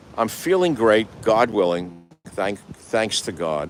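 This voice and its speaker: A man with an American accent speaks very slowly. His pitch swings very widely. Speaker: radio talk show host. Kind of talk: talk show monologue. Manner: casual, rambling.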